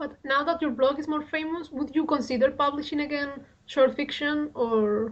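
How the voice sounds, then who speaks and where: The speaker has a Spanish accent, a moderate pace and fairly even intonation. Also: woman, high pitch for a woman. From Spain. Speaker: radio interviewer. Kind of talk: interview.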